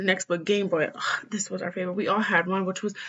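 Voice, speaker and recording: A woman speaks at a medium pitch. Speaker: student presenter. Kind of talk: slideshow presentation. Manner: fast.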